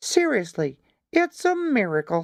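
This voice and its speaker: At a moderate pace, a high-pitched put-on character voice carries the lines. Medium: read story.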